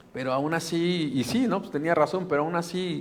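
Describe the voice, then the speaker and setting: This man talks at a fairly slow pace with ordinary pitch variation, and audible room echo surrounds his voice. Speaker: pastor. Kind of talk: sermon. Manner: animated.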